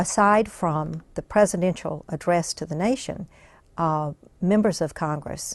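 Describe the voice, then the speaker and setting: The pace is fairly slow, with fairly even intonation and an ordinary speaking voice. The background is quiet. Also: woman. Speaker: congressional press gallery director. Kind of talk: oral history interview answer.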